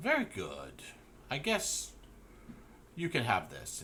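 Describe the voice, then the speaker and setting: Over clear background noise, a man performs a put-on character voice at a fairly slow pace. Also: fairly high pitch for a man. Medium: actual play. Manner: bored, curt.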